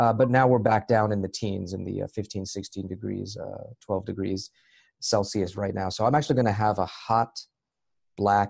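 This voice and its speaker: With an American accent, a man talks at a moderate pace, his fairly low pitch carrying fairly even intonation. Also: quiet background. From US, Maryland. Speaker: software engineer and speaker on Islam. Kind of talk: interview.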